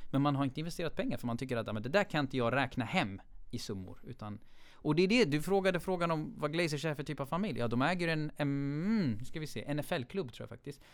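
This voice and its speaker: Fairly quick and lively in intonation, a man speaks with a normal speaking voice at a fairly high pitch. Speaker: football fan guest. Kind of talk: casual chat.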